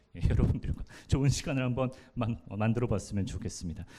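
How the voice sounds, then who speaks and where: With a silent background, the recording is very clean. A dark, mellow tone carries the voice. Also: man. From Daejeon, South Korea. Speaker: radio announcer and event host. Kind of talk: live public event hosting. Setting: stage with audience.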